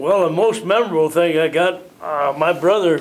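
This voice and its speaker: A man with a Midwestern American accent talks at a moderate pace with a fairly high pitch and ordinary pitch variation. Noticeable background noise can be heard. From US Midwest (Illinois). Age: 90s. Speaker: war veteran. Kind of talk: oral history interview. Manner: halting, repetitive.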